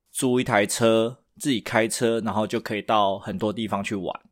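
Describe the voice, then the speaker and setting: On a very clean recording with a silent background, a man with a plain, everyday voice speaks at a fairly low pitch with ordinary pitch variation. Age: middle-aged. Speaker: podcast co-host. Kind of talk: casual chat.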